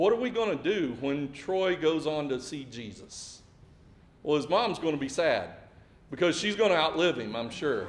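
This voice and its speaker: Amid audible room echo, a man with a fairly high pitch speaks at a moderate pace with lively intonation. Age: 40s. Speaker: pastor. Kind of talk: sermon.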